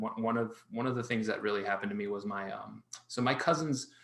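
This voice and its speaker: Noticeable background noise behind a man's voice at medium pitch, with ordinary pitch variation. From Miami, Florida, US (born in Colombia). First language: Spanish. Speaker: artist and children's book author. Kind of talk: interview conversation.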